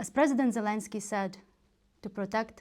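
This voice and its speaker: A woman in a Ukrainian accent, medium in pitch, with lively intonation at a moderate pace. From western Ukraine, Ivano-Frankivsk. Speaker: political candidate. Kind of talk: campaign speech. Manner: formal.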